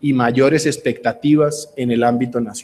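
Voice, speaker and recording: In a Cali accent, a man speaks with a fairly high pitch. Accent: Cali Colombian Spanish. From Colombia, Cali. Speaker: real estate business executive. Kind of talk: conference speech. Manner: formal.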